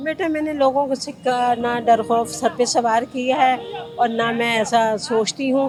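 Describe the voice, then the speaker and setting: A woman's high-pitched voice with ordinary pitch variation over noticeable background noise. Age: 60s. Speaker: roadside biryani seller. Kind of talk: interview answer.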